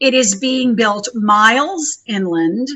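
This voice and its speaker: This woman has a high voice and an American accent. She talks at a very slow pace. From US South, Texas Rio Grande Valley. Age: 50s. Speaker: activist and nature center director. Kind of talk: interview.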